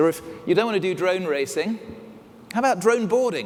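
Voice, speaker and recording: Over noticeable background noise, a man with an English accent speaks at a fairly quick pace with very wide pitch swings. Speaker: magazine editor, keynote speaker. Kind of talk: conference keynote. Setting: stage with audience.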